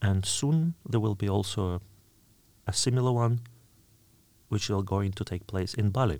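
This man speaks with a fairly low pitch. He leaves long, frequent pauses. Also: ordinary pitch variation, moderate pace. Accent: Russian. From Russia, Orel region. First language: Russian. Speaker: university lecturer. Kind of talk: interview.

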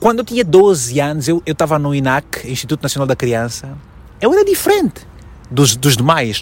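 A man speaks with lively intonation at a moderate pace. His voice is somewhat breathy. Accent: Angolan. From Angola, Malanje province. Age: 30s. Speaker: journalist and TV presenter. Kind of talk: interview.

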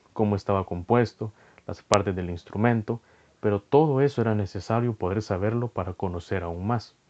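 A man talks at a moderate pace with a plain, everyday voice, fairly low in pitch, with ordinary pitch variation. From El Salvador. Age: 20s. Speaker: podcast host. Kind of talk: solo podcast monologue.

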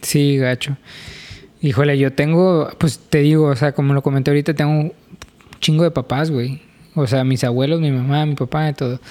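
A man with a fairly high pitch speaks at a moderate pace in a normal speaking voice. His intonation stays fairly even. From Mexico, Reynosa. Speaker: podcast co-host. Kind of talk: casual chat.

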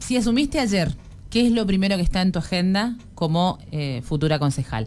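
A woman speaks at a moderate pace with a medium pitch that makes very wide swings. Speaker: radio host. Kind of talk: radio interview.

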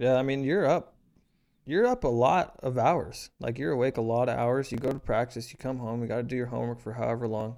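A plain, everyday voice from a man, medium in pitch with ordinary pitch variation, at a fairly quick pace in a very clean recording with a silent background. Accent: American. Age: 20s. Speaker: podcast co-host. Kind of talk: casual chat.

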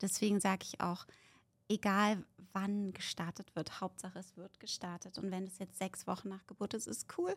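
A woman speaks in a flat monotone on a very clean recording with a silent background. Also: medium pitch for a woman, moderate pace. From Berlin, Germany. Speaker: fitness expert and author. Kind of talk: casual chat. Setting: studio.

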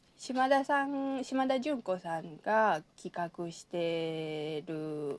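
Speaking very slowly in a Kansai accent, a woman has a fairly low pitch. Her pitch swings very widely and her loudness rises and falls sharply. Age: 30s. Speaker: anthropology doctoral student and literary translator. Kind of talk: casual chat.

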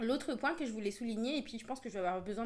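A woman speaks at a fairly high pitch with ordinary pitch variation. She has an ordinary speaking voice. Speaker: podcast co-host. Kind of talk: casual chat.

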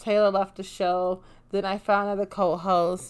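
An animated woman's voice at medium pitch, fairly slow in pace, on a very clean recording with a silent background. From Chicago, Illinois. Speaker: podcast host. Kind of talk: casual monologue.

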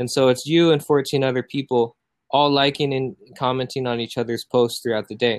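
With an American accent, a man speaks at a medium pitch using fairly even intonation. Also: moderate pace. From US Midwest, Iowa (born South Korea, adopted as infant). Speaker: Instagram growth agency founder. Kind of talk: podcast interview. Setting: home sunroom, remote call.

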